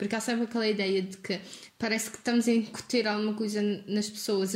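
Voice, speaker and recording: A woman talks very fast in a somewhat breathy voice. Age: 20s. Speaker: university student. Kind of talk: casual discussion.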